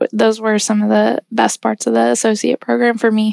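A woman's fairly high voice in monotone, flat intonation. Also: dry, close sound with no echo. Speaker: junior strategy consultant. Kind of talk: casual chat.

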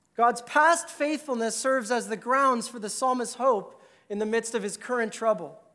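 A man's raised, projected voice at extremely high pitch, with ordinary pitch variation and a moderate pace. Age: 30s. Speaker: pastor. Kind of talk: sermon.

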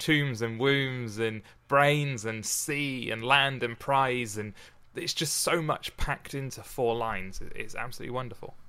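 The voice has a bright, sharp tone and ordinary pitch variation, captured in a very clean recording against a silent background. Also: man. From Oxfordshire, England. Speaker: podcast host. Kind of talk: casual chat, poetry reading. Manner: humorous, jokey.

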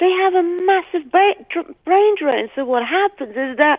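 A woman speaks with an English accent at a fairly slow pace. Her intonation is lively. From Britain. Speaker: investigator. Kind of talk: interview.

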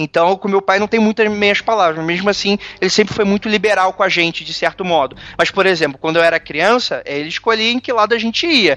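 Against noticeable background noise, a man uses a raised, projected voice with high pitch, ordinary pitch variation and a fairly quick pace. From Brazil. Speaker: podcaster. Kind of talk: casual interview. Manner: hesitant, filler-heavy.

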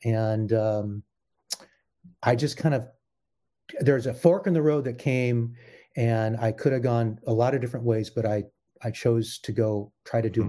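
On a very clean recording with a silent background, a man with an American accent speaks at a moderate pace in a dark, mellow tone of medium pitch, with ordinary pitch variation. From US Pacific Northwest, Portland Oregon. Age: 60s. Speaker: musician and composer. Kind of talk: interview.

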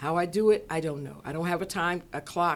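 Here a woman uses a normal speaking voice. Her pitch is fairly low and her pace moderate. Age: 60s. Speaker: business owner. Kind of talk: casual chat.

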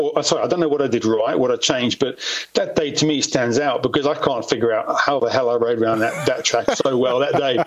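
A man talks at a very fast pace and a fairly high pitch, with fairly even intonation, very even loudness, and noticeable background noise. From South Africa. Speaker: former motocross racer and stuntman. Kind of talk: casual interview.

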